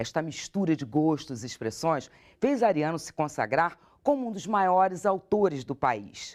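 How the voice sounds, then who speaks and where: A high-pitched male voice at a moderate pace, with very wide pitch swings, dry and close with no echo. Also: very clean recording, silent background. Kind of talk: TV program narration.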